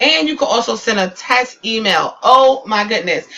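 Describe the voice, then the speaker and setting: Against noticeable background noise, a woman talks at a moderate pace and a fairly high pitch, with ordinary pitch variation. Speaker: online business tutorial YouTuber. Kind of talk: screen-share tutorial. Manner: animated, excited.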